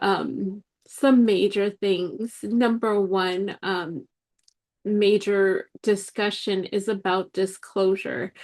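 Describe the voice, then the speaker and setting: A woman speaks at a very slow pace with a medium pitch. Her intonation is fairly even, and the background is quiet. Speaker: spiritual podcast host. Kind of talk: solo podcast monologue. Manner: hesitant, many fillers and restarts.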